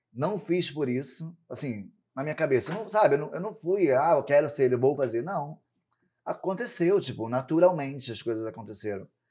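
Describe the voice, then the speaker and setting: A man's fairly high voice with a dark, mellow tone, lively intonation and big swings in loudness. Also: moderate pace. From Brazil, São Gonçalo (Rio de Janeiro state). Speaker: drag queen and show producer. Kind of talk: casual chat.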